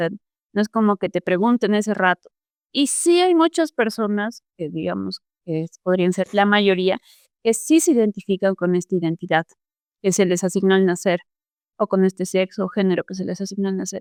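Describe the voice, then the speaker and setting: A woman's voice sits at a medium pitch and moves at a moderate pace. The sound is dry and close, with no echo. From Peru, Cusco. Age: 20s. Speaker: activist and artist. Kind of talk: podcast interview. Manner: hesitant, many fillers.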